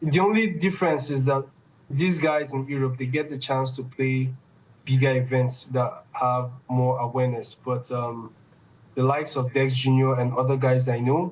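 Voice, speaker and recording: A somewhat breathy man with a Nigerian accent, medium pitch, fairly even intonation and a moderate pace. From Nigeria, Igbo east. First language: Igbo. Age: 20s. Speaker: esports organization founder. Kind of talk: podcast interview.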